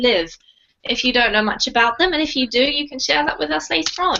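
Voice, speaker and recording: A woman's high-pitched voice with an English accent. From England. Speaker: online English teacher. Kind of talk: online language class. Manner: friendly, encouraging.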